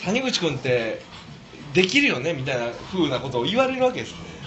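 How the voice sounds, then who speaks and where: A man with a Kansai accent speaks with very wide pitch swings. Noticeable background noise and audible room echo are present. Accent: Kansai Japanese. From Osaka. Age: 30s. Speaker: speaker at community talk event. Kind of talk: casual talk to a small audience.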